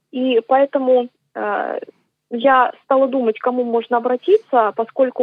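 A woman speaks at a fairly slow pace. Her voice is high-pitched. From Moscow region, Russia. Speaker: singer and composer. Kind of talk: radio interview. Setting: remote radio link.

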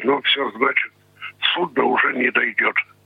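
Noticeable background noise fills the clip. Through it, a man can be heard talking. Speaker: blind pensioner, former brass band musician. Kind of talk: interview. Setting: phone call. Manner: terse.

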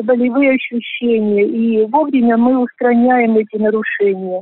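A woman's voice sits high in pitch. She talks at a fairly slow pace. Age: 60s. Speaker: volunteer health gymnastics instructor. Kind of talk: prepared radio monologue.

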